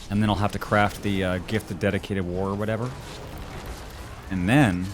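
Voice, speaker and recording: Fairly quick speech from a man with a fairly low pitch, noticeable background noise behind it. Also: fairly even intonation. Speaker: video game livestreamer. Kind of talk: casual gaming livestream chat. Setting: livestream. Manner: fast.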